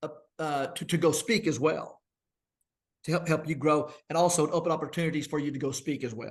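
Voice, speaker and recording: Fairly high-pitched male voice at a fairly quick pace, with fairly even intonation. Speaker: minister and church elder. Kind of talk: casual chat. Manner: fast.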